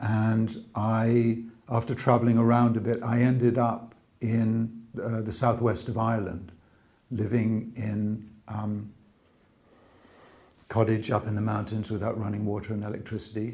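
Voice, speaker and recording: In an RP accent, a man speaks at medium pitch, fairly slowly and in a flat monotone, his tone dark, mellow and somewhat breathy. Audible room echo surrounds the voice. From England. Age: 60s. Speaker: convert telling his story. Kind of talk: interview testimony. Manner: halting.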